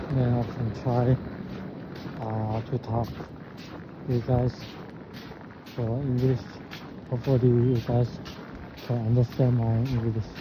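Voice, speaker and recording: Over noticeable background noise, a man talks at a very slow pace in a monotone, flat intonation, with long, frequent pauses. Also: medium pitch for a man. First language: Chinese. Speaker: vlogger. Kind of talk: casual vlog talk. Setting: outdoors. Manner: halting.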